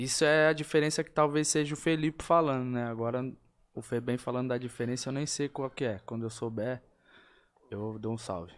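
A man with a medium-pitched, ordinary speaking voice talks at a fairly quick pace with ordinary pitch variation, recorded very cleanly against a silent background. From São Paulo (Vila Maria, then Diadema). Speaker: rapper. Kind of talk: casual chat.

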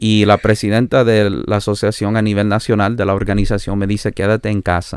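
At a fairly quick pace, a man talks with a fairly low pitch and monotone, flat intonation. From Canada, born in El Salvador. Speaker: pastor and itinerant preacher. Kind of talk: interview, personal testimony. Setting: remote call.

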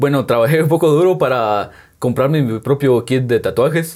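In a very clean recording with a silent background, a man talks at a moderate pace with ordinary pitch variation in an unremarkable speaking voice. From Guatemala, San Juan Comalapa. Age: 20s. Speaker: painter and tattoo artist. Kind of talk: interview. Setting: on location in hometown.

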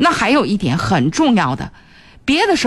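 A woman speaks at a moderate pace with a fairly high pitch. Her voice has vocal fry. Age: 40s. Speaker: radio host. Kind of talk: radio call-in advice show.

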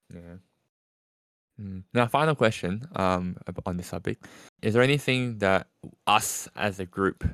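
A man speaks at a moderate pace in an ordinary speaking voice with fairly low pitch, recorded very cleanly against a silent background with a dry, close sound and no echo. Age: 20s. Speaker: podcast host. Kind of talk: casual chat.

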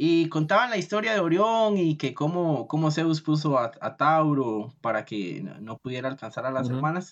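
The background stays quiet. Speech proceeds at a moderate pace. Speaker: podcast host. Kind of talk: podcast interview.

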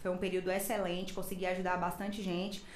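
A woman speaks in a room with audible echo while clear background noise runs underneath. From Imperatriz, Maranhão, Brazil. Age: 30s. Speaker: dentist and former health secretary. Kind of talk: casual chat. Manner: talkative.

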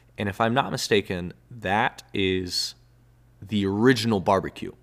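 A man with an American accent speaks at a fairly low pitch. The recording is very clean, with a silent background. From Texas. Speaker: podcast host. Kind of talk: casual solo monologue. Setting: indoors, home recording spot. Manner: halting, many fillers. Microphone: solo close to microphone, new headphones.

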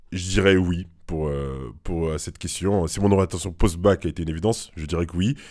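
A man's very deep, low voice at a fairly quick pace. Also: ordinary pitch variation. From Cameroon, moved to France at about 12. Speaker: business school student and former engineer. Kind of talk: interview. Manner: hesitant, many fillers and repeats.

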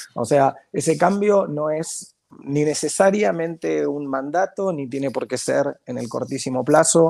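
With hardly any pauses, a man speaks fairly slowly at a fairly high pitch with ordinary variation. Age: 40s. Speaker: marketing professor and consultant. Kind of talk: interview conversation. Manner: halting, frequent repetitions.

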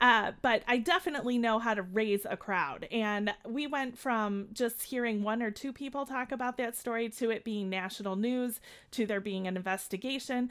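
A woman with a Chicago accent and a fairly high pitch, ordinary pitch variation, a moderate pace with hardly any pauses, on a very clean recording with a silent background. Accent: Chicago, Midwestern American. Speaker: podcast co-host. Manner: energetic, animated.

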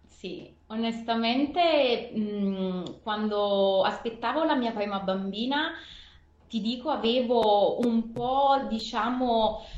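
Speaking at a very slow pace, a woman's fairly high voice carries audible room echo. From Naples, southern Italy. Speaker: mother and former team manager. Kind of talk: interview. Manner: hesitant, with fillers.

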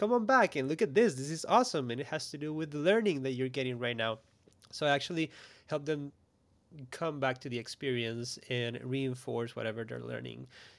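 A man speaks with a Spanish accent and ordinary pitch variation. The recording is very clean, with a silent background. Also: medium pitch for a man, fairly quick pace. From Costa Rica. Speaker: graphic recording artist. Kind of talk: casual interview chat.

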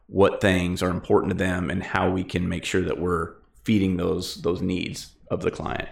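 In a very deep, low voice, a man talks with monotone, flat intonation. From Wyoming. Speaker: real estate agent and firefighter. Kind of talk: casual interview.

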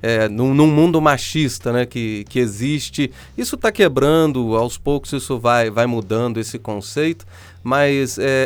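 In a Minas Gerais accent, a man talks at a fairly slow pace and medium pitch with ordinary pitch variation. Music can be heard in the background. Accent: Mineiro Brazilian Portuguese. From Minas Gerais, Brazil (São João del Rei). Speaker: podcast host and producer. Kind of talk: casual interview.

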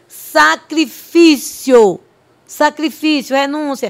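A woman talks with ordinary pitch variation in a very clean recording, the background silent. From Bahia backlands, northeast Brazil (Olindina). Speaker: pastor. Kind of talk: testimony.

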